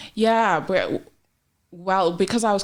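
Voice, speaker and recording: Her pitch varies normally as a woman with an Australian accent speaks at a medium tempo. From Australia (Melbourne), born in Papua New Guinea. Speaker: entrepreneur and sales professional. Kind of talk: podcast interview.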